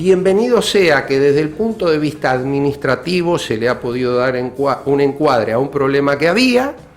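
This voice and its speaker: A man with a fairly high pitch speaks at a moderate pace with ordinary pitch variation and hardly any pauses, music playing in the background. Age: 60s. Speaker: radio guest. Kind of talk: radio interview.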